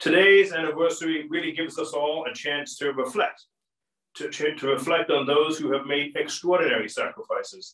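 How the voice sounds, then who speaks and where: A man with an American accent speaks at a moderate pace in a fairly high pitch, his intonation lively, with audible room echo over a quiet background. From United States. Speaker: diplomat. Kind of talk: formal welcome speech. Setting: online video event. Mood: solemn, respectful. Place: home room. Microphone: camera far.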